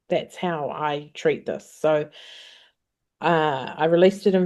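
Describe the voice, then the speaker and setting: With a New Zealand accent, the speaker has a dark, mellow tone and fairly even intonation over a quiet background. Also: woman. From New Zealand, Auckland. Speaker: singer-songwriter. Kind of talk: interview.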